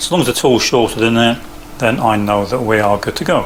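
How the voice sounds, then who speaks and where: The speaker is a man with a medium pitch. Noticeable background noise is present. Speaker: CNC hobbyist and maker. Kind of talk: tutorial. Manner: hesitant, many fillers.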